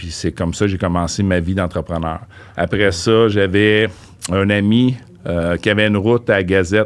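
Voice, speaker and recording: With a plain, everyday voice, a man speaks at a fairly low pitch and moderate pace with fairly even intonation. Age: 50s. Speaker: real estate investor. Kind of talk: interview.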